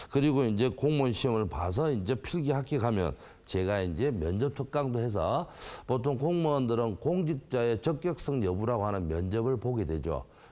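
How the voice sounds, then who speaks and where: At a moderate pace, a man speaks in a dark, mellow tone at medium pitch with very wide pitch swings. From South Korea, Gyeongsang (Busan, Geoje). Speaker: academy director. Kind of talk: interview.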